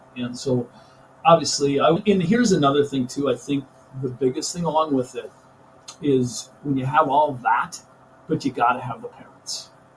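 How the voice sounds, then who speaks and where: With a Minnesota accent, a man speaks at a moderate pace with long, frequent pauses. His pitch is fairly high, with ordinary variation. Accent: Upper Midwest (Minnesota) American. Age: 60s. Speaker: high school teacher and coach. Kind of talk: podcast interview. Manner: animated.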